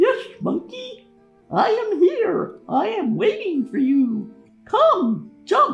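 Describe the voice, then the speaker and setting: In a put-on character voice, someone speaks at an extremely high pitch with very wide pitch swings and a very slow pace, with faint music in the background. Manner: funny disguised voice.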